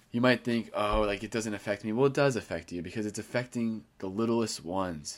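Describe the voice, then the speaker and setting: Over a very clean recording with a silent background, a man talks at a fairly quick pace with a fairly low pitch and fairly even intonation. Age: 20s. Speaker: podcast host and catechism teacher. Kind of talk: solo monologue. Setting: recorded for YouTube video and audio. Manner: fast.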